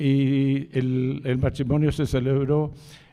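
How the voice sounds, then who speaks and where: His intonation stays fairly even. This man's voice is fairly high for a man, with a dark, mellow tone. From Chile (Santiago). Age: 80s+. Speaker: author. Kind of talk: book presentation talk. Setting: live event with audience. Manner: halting, with fillers and repetitions.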